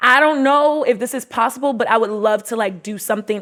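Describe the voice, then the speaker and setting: A woman talks in an American accent with fairly even intonation. Noticeable background noise runs underneath. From US Mid-Atlantic (DC, Maryland, Virginia area). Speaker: podcast host and entrepreneur. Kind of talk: casual interview testimony.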